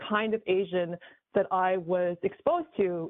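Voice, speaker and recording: A woman in an American accent speaks with medium pitch and fairly even intonation in a plain, everyday voice. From New York. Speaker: government employee. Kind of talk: podcast interview.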